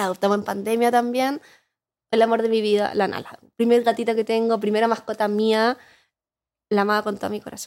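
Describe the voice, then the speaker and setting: Speech in a Chilean accent comes at a fairly quick pace yet with long, frequent pauses, flat and monotone, in a very clean recording with a silent background. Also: woman, fairly high pitch for a woman. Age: 30s. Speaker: advertising professional and content creator. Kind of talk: casual chat.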